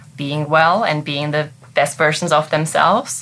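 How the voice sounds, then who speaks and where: A woman speaks with a German accent. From Germany. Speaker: business owner. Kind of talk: interview.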